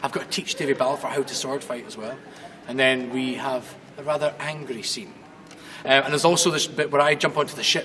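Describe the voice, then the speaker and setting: A man with a Glaswegian accent talks at a fairly quick pace in a fairly high pitch, his loudness swinging widely against noticeable background noise. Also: ordinary pitch variation. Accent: Glaswegian Scottish. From Scotland, Glasgow. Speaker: stage actor. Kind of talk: casual interview.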